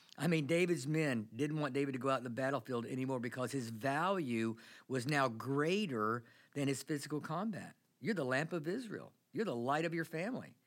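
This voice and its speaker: Over a silent background in a very clean recording, a man with a plain, everyday voice talks fairly quickly at a fairly high pitch with ordinary pitch variation. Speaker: pastor. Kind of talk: sermon.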